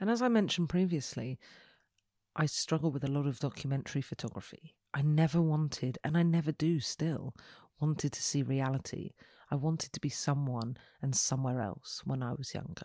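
Speaking at a fairly quick pace with an English accent, a woman uses a very deep, low pitch and a dark, mellow tone with ordinary pitch variation, captured in a very clean recording with a silent background. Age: 30s. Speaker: photographic artist and podcast host. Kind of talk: solo podcast monologue.

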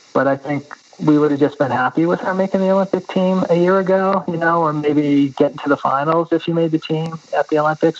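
Noticeable background noise sits under the recording. A man talks at a very fast pace with fairly high pitch and fairly even intonation. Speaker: running coach. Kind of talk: interview conversation.

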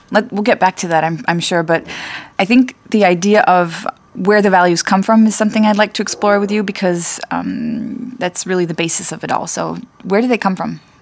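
A woman talks at a fairly quick pace with an American accent. She has a normal speaking voice, a medium pitch and ordinary pitch variation. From United States. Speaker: podcast host and marketing director. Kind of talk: casual chat.

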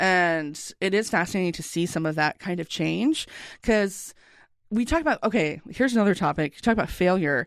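This woman has an American accent, a medium pitch and an animated tone. She talks at a fairly quick pace with lively intonation against a quiet background. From US South. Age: 30s. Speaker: graphic designer and teacher. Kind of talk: casual chat. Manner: animated, laughs often.

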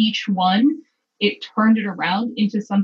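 The speaker uses an unforced reading voice with fairly even intonation. The background is quiet.

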